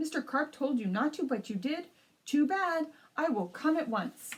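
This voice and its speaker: At a moderate pace, a woman uses a put-on character voice, high-pitched and with very wide pitch swings. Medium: read story. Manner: brisk, matter-of-fact.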